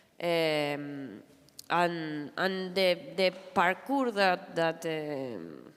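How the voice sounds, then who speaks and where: At a very slow pace, a woman with a Spanish accent speaks in a fairly low voice with lively intonation. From Argentina. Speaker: comic artist. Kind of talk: panel discussion. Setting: stage with audience.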